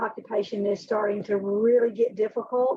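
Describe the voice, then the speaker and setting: A woman with an Alabama accent, her pitch fairly high, at a moderate pace with fairly even intonation. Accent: Alabama Southern. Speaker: HR director. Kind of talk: video call roundtable.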